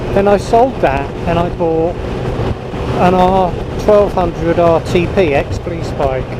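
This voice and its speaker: The speech moves at a very slow pace with ordinary pitch variation and very even loudness. Noticeable background noise and audible room echo are present. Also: man, high pitch for a man. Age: 60s. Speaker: motorcycle vlogger. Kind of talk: casual vlog monologue.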